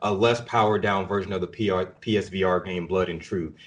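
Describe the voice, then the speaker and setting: An unremarkable speaking voice from a man, fairly low-pitched and fairly quick, with fairly even intonation against a quiet background. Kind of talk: casual chat.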